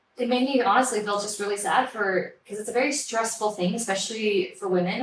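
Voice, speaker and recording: With an American accent, a woman uses a normal speaking voice at medium pitch, ordinary pitch variation and a moderate pace. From Switzerland, French-speaking Neuchâtel area, then Colorado from age 14. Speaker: hairdresser and salon owner. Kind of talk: interview.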